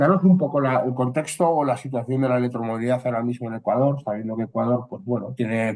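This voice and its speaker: A man talks at a fairly quick pace with a Spanish accent. His pitch sits in the medium range with ordinary variation. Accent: Spanish (Spain). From Spain. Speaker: consultant, webinar moderator. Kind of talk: webinar discussion.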